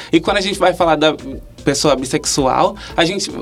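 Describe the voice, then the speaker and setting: At a moderate pace, the voice rises and falls with ordinary pitch variation. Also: man. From Brazil, Pernambuco (Vitória de Santo Antão). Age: 20s. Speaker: nursing student and LGBT activist. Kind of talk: interview.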